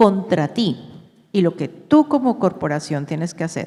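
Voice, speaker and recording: A woman speaks in a Colombian accent. Her medium-pitched voice has a dark, mellow tone. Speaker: company executive. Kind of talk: panel discussion. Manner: halting.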